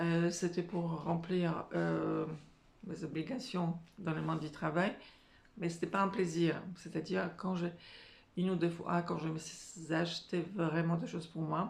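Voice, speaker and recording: A woman with a non-native accent speaks very slowly in a fairly low voice with fairly even intonation, and the room echo is audible. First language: not French (speaking French). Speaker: career and life coach. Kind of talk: motivational talk to camera. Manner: hesitant, many filler sounds.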